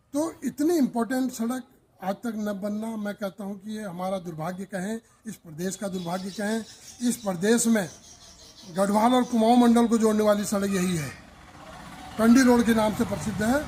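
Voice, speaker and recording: A man speaks at a high pitch amid noticeable background noise. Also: ordinary pitch variation. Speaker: local activist. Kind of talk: street interview.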